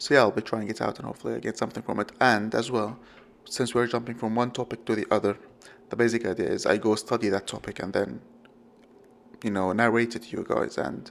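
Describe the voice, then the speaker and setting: A man's very fast, monotone, flat delivery with vocal fry and a non-native accent. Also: medium pitch for a man. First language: not English. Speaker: podcast host. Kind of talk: solo podcast monologue. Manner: halting, many fillers and self-corrections.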